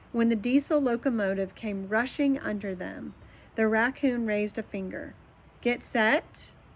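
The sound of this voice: With ordinary pitch variation, the clip features an unforced reading voice.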